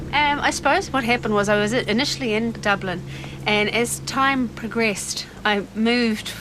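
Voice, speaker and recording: A New Zealand accent at a moderate pace, with ordinary pitch variation and noticeable background noise. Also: woman. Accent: non-Irish accent, New Zealand. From New Zealand, Dunedin. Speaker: occupational therapist and boat owner. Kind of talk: interview. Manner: casual, with frequent fillers.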